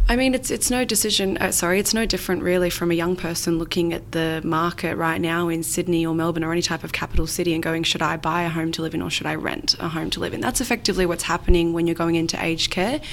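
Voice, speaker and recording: In an Australian accent, the speaker talks at a very fast pace with hardly any pauses and ordinary pitch variation. Noticeable background noise is present. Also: woman, fairly low pitch for a woman. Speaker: aged care financial adviser. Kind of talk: interview.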